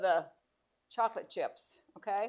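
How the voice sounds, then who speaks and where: A woman talks with ordinary pitch variation. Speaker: cooking class instructor. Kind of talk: cooking demonstration. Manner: loud.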